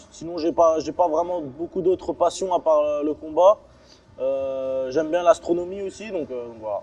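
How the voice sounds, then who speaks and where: A fairly slow, fairly high male voice with ordinary pitch variation. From France, Strasbourg (Alsace), born in Chechnya. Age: 20s. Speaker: MMA fighter. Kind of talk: interview. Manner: hesitant, many fillers and repetitions.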